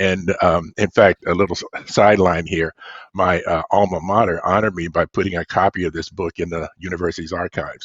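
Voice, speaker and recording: A man's very deep, low voice in a flat monotone at a fairly quick pace. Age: 70s. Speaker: science fiction author. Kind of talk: podcast interview.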